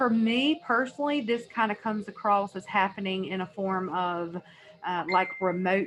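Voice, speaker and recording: Noticeable background noise sits behind a woman speaking at a fairly slow pace in a medium pitch. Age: 30s. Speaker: energy healer and psychic. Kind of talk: informal talk to camera. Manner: casual, conversational with fillers.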